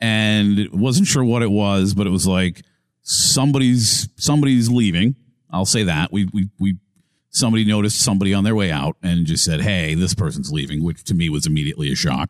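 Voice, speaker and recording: A man speaks in a normal speaking voice at a fairly low pitch, fairly quickly and with lively intonation. His loudness stays very even, and the sound is dry and close with no echo. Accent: American. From Massachusetts. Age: 40s. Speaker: sports radio host. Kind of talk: casual interview.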